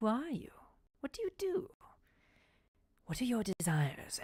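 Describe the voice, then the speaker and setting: A put-on, female-sounding character voice, high-pitched with very wide pitch swings, at a moderate pace. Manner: calm.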